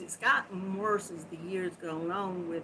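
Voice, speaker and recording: A Southern US accent colors a woman's speech. She talks at a fairly slow pace. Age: 60s. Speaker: crochet livestream host. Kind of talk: live stream chat with viewers. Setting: live video stream.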